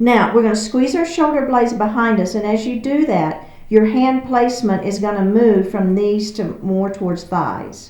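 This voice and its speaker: A woman's fairly high pitch in a Texas accent, with ordinary pitch variation, a moderate pace and hardly any pauses, amid audible room echo and noticeable background noise. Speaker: yoga instructor. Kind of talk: guided exercise class.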